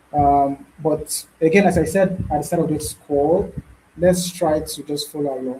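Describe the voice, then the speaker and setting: A man's fairly high voice, fairly slow and fairly even in intonation, with noticeable background noise. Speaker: bootcamp instructor. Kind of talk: live online tutorial. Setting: video call with screen sharing.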